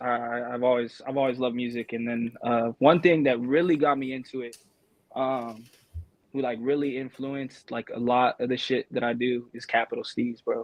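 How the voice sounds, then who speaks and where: This man speaks with an American accent at a medium pitch. His pace is moderate and his intonation monotone and flat. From Colorado (Pueblo). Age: 20s. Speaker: rapper. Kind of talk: casual interview. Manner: halting.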